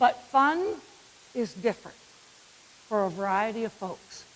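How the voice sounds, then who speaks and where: With a northern US accent, a woman speaks at a fairly slow pace in an animated tone with very wide pitch swings over noticeable background noise. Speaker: physical education speaker. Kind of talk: conference keynote. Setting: stage with audience.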